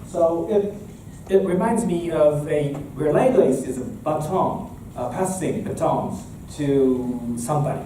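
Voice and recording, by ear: A fairly high-pitched male voice, dark and mellow in tone, at a fairly slow pace with few pauses, ordinary pitch variation and audible room echo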